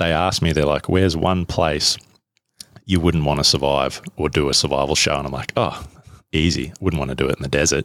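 A man with an Australian accent speaks at a fairly quick pace. His pitch is very deep and low, with fairly even intonation. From Australia, central Queensland. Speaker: survival hunter and bush guide. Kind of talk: interview. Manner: halting, repeats words.

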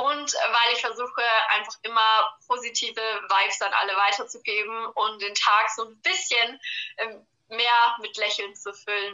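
A woman speaks in a normal speaking voice at a fairly slow pace, her pitch fairly high. Her intonation stays fairly even while her loudness swings widely. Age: 20s. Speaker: social media creator and university student. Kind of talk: interview.

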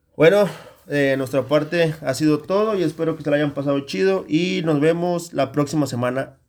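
A fairly high-pitched man with a plain, everyday voice and a fairly quick pace, ordinary pitch variation, on a very clean recording with a silent background. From northern Mexico. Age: 20s. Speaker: podcast host. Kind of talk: casual chat.

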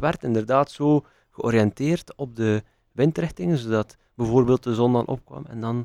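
In a Flemish accent, a voice with a dark, mellow tone moves at a moderate pace with ordinary pitch variation, in a dry, close sound with no echo. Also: man, medium pitch for a man. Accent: Flemish Dutch. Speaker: podcast co-host. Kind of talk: casual chat. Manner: halting.

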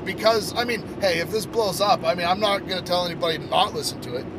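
A man speaks with ordinary pitch variation. Audible room echo and noticeable background noise fill the recording. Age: 30s. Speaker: podcast host and vlogger. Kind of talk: casual chat. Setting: in a car.

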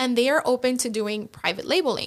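High-pitched female speech in a very clean recording, the background silent. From Mexico, born in León, Guanajuato. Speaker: podcast host and coffee business owner. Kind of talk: solo podcast monologue.

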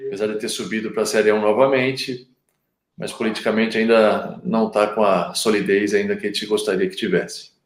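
A man with an unremarkable speaking voice speaks at a fairly quick pace in a fairly low pitch, his intonation fairly even. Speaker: retired footballer turned agent. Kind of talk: casual chat.

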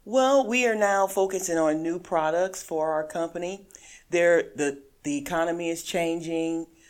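In a very clean recording with a silent background, a woman with a normal speaking voice talks at a moderate pace, her fairly low pitch moving with ordinary variation. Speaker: company representative. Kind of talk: radio interview, promotional talk. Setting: radio studio.

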